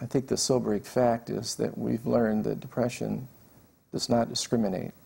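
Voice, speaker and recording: A man's dark, mellow tone with vocal fry and fairly even intonation. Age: 60s. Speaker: panel member sharing experience of depression. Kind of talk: testimony. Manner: halting, with frequent fillers and repetitions.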